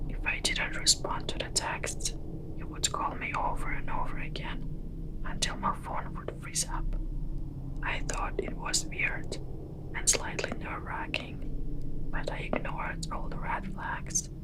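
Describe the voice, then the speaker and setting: Whispering against noticeable background noise. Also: fairly slow pace. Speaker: ASMR storyteller. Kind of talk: horror story narration. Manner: whispered.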